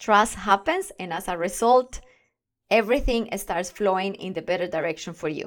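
A woman talks at a moderate pace with ordinary pitch variation in a very clean recording with a silent background. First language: not English. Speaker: podcast host, confidence and communication coach. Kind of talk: solo podcast monologue. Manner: enthusiastic.

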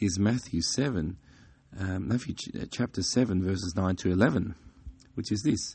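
A man with a very deep, low pitch sounds somewhat breathy, with ordinary pitch variation. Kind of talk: devotional talk. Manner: halting, with fillers.

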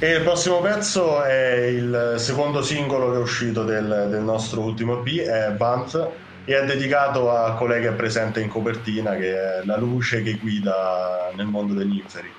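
Pitched in a medium range, a man's voice shows ordinary pitch variation at a moderate pace. Behind him, background noise is noticeable. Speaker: band member, musician. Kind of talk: radio interview answers, conversational.

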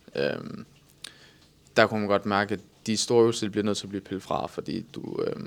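Intonation stays fairly even while the words come fairly quickly. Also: man. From Southern Jutland, Denmark. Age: 20s. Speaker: bodybuilder and online coach. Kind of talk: casual interview.

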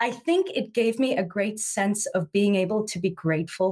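Somewhat breathy and fairly slow, a woman speaks with lively intonation. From South Africa. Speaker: branding consultant. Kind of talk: interview.

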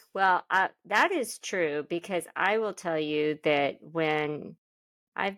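A woman with an American accent speaks at a very slow pace and fairly low pitch with ordinary pitch variation, her sound dry and close with no echo in a very clean recording with a silent background. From Oklahoma. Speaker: sports podcast co-host. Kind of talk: casual chat.

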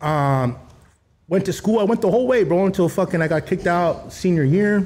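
Here a man talks with lively intonation. His voice is somewhat breathy. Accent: American. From Los Angeles area, El Monte. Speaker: motorcycle club member and youth football coach. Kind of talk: casual interview.

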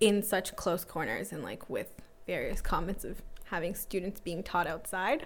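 A woman's ordinary speaking voice, medium in pitch, with ordinary pitch variation and a moderate pace. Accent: Canadian. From Toronto (North York), Canada. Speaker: teacher. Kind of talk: casual chat. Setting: home basement. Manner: laughs often.

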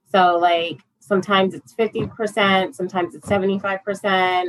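Speaking at a moderate pace, a woman uses a normal speaking voice at a medium pitch. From upstate New York. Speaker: forex trader and parent. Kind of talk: casual interview chat.

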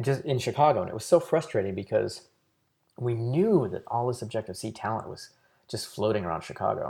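A man talks at a fairly quick pace, somewhat breathy and at a medium pitch, with lively intonation. His loudness swings widely, and the recording is very clean with a silent background. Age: 40s. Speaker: software company co-founder. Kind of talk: interview.

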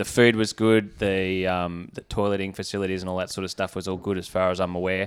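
On a very clean recording with a silent background, a man with an Australian accent speaks very fast at a fairly low pitch, using ordinary pitch variation. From Australia (Canberra). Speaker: former Olympic rower and anesthetist. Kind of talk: casual chat.

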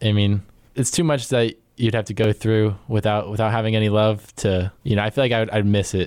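An ordinary speaking voice from a man with an American accent, fairly low in pitch, at a fairly quick pace with fairly even intonation and very even loudness, on a very clean recording with a silent background. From Virginia. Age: 20s. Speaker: student podcast co-host. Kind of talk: casual chat. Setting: studio.

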